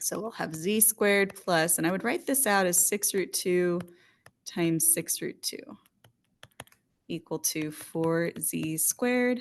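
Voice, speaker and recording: A woman speaks at a fairly slow pace in an unremarkable speaking voice. Her pitch is medium, with ordinary variation. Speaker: math teacher. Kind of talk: tutorial.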